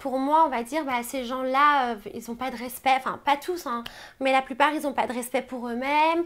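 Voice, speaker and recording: Her pitch is high for a woman, and she talks at a fairly quick pace with fairly even intonation. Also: very clean recording, silent background. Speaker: reality TV contestant. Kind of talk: interview. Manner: hesitant, many fillers.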